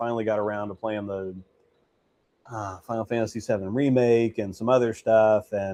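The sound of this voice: With a dark, mellow tone, a man speaks at a fairly low pitch and moderate pace, keeping his intonation fairly even.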